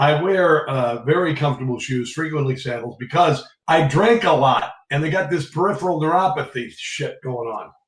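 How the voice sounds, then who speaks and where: A man with an American accent speaks in a plain, everyday voice. His pitch is fairly high, with ordinary variation. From Iowa, US Midwest. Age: 60s. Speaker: radio host. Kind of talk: casual chat.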